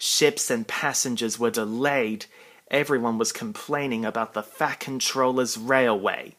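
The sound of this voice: The reading voice here is unforced.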